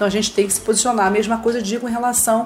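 A woman speaks at a fairly high pitch. Noticeable background noise can be heard. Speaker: social worker. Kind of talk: educational talk. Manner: halting, frequent fillers.

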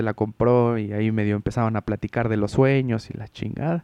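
In a Mexican accent, a man speaks fairly slowly at a medium pitch with a dark, mellow tone and a dry, close sound with no echo. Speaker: podcast host. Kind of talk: casual chat. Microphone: no headphones, audio may echo double.

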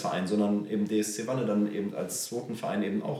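A man talks at a fairly quick pace. His tone is dark and mellow, his pitch fairly low. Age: 30s. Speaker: amateur footballer and club board member. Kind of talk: casual chat. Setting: on location at a club.

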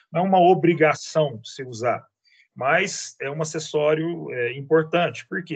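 Here a man has an ordinary speaking voice, pitched fairly high, with ordinary pitch variation at a moderate pace. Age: 40s. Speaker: teacher and antiques dealer. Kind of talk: casual interview.

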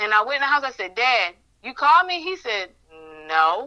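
A woman's bright, sharp tone at a moderate pace.

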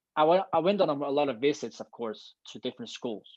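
This is a man speaking. He has a Danish accent. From Denmark, Copenhagen. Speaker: long jumper. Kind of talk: interview.

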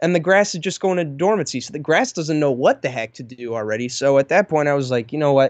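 Using a normal speaking voice, a man talks at a fairly quick pace with a fairly high pitch and ordinary pitch variation. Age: young. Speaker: lawn care YouTuber. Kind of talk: casual chat.

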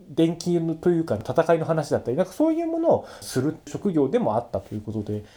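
A man's fairly high, dark and mellow voice with lively intonation, a fairly quick pace and hardly any pauses. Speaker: solo podcast host. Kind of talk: casual solo talk. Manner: fast.

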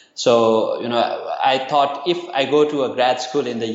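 Audible room echo and noticeable background noise surround a man speaking at a fairly slow pace and a fairly high pitch. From Nepal. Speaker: university lecturer and nonprofit founder. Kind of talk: interview. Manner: hesitant, many fillers.

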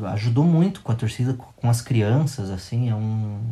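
A somewhat breathy voice at a fairly slow pace, with ordinary pitch variation. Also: man. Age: 30s. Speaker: football fan. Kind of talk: storytelling. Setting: at home with his son.

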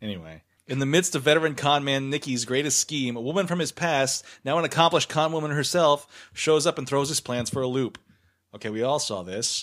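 An unremarkable speaking voice from a man with an American accent and fairly high pitch, fairly quick pace, very clean recording with a silent background. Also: ordinary pitch variation. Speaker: podcast host and film critic. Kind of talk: casual banter. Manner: joking, quick banter.

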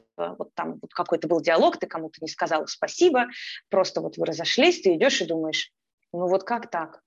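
This woman has a normal speaking voice, with medium pitch and ordinary pitch variation. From Ukraine, Kyiv. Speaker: energy therapist and mindfulness coach. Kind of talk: casual interview.

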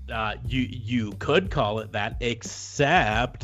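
Music plays behind a man talking. His voice sits fairly low, with lively intonation. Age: 40s. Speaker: wrestling podcast host. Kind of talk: casual chat.

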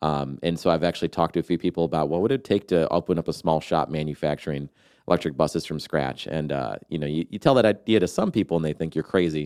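In a very clean recording with a silent background and a dry, close sound with no echo, a man with an American accent speaks very fast in a very deep, low pitch, with vocal fry and hardly any pauses. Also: ordinary pitch variation. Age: young. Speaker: bus company founder. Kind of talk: casual interview. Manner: halting, with many fillers.

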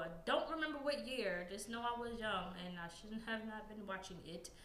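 A woman with an American accent, fairly high pitch and lively intonation at a moderate pace, amid noticeable background noise and audible room echo. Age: 30s. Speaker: podcast guest. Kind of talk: casual chat.

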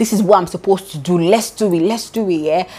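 This is a woman speaking. Her tone is animated. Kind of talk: devotional teaching.

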